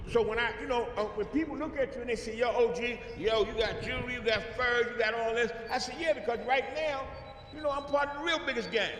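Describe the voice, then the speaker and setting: Amid audible room echo and noticeable background noise, a man talks at a very fast pace in an animated tone, his pitch extremely high. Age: 60s. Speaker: former gang leader, bodyguard. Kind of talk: motivational outreach talk to youth.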